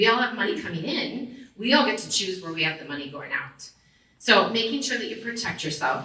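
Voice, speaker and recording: Over noticeable background noise, a woman with an Upper Midwest accent talks at a fairly quick pace in a fairly high, animated voice. Her pitch swings very widely and her loudness varies greatly. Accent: Upper Midwest American. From Minnesota. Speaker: financial advisor. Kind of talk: motivational talk.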